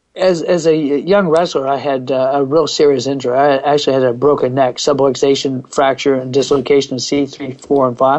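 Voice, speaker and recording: A normal speaking voice from a man with an American accent, fairly high in pitch, at a moderate pace. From US Northeast (Pennsylvania). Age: 60s. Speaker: fitness coach. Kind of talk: interview.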